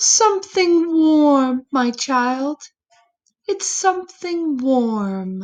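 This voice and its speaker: A woman's high-pitched put-on character voice with very wide pitch swings at a very slow pace. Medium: read story. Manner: soft, tender.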